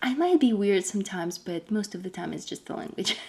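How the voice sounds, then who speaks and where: A woman with a Russian accent talks at a very fast pace, with a medium pitch and ordinary pitch variation. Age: 20s. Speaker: homemaker vlogger. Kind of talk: casual Q&A vlog.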